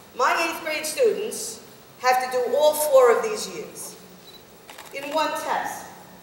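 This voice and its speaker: A woman's high-pitched voice at a very slow pace, with very wide pitch swings, big swings in loudness and long, frequent pauses, plus noticeable background noise and audible room echo. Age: 60s. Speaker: teacher. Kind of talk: public talk. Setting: community forum with audience. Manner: animated.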